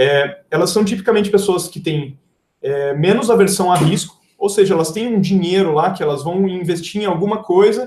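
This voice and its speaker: Here a man speaks with a high pitch and ordinary pitch variation. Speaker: engineer and software company founder giving a talk. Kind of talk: live webinar presentation. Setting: livestream with screen sharing. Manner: fast.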